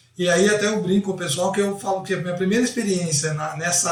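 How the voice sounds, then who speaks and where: A man's high-pitched, very fast speech against noticeable background noise. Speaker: football coach. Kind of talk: interview.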